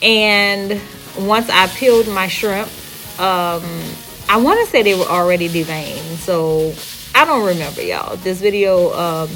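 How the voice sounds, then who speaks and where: Music plays in the background. A woman speaks at a moderate pace and medium pitch. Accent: New Orleans. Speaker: home cook vlogger. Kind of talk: cooking tutorial voiceover. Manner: casual, conversational.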